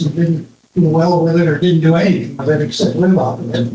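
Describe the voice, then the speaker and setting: A man with an American accent speaks in a high pitch with ordinary pitch variation, and audible room echo fills the sound. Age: 80s+. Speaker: retired engineer, son of designer. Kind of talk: anniversary talk, reminiscing to audience.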